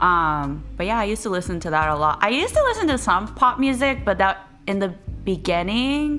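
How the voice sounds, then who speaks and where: Over background music, a woman speaks at a fairly quick pace in a medium pitch that swings very widely. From Japan, Chiba. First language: Japanese. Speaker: music producer and DJ. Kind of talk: interview. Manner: halting.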